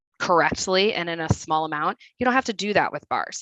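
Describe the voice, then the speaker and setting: With a Midwestern accent, a woman talks at a fairly quick pace in a fairly low pitch and a bright, sharp tone, the sound dry and close with no echo over a quiet background. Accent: Midwest. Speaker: registered dietitian. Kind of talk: webinar presentation.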